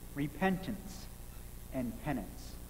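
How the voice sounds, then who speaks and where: Against light background noise, a man speaks at a fairly slow pace. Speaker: minister. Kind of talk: sermon. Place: church. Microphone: podium.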